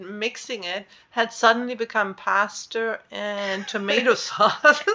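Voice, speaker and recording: A woman's fairly high voice with a German accent and ordinary pitch variation. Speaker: podcast co-host. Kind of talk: casual chat. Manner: animated.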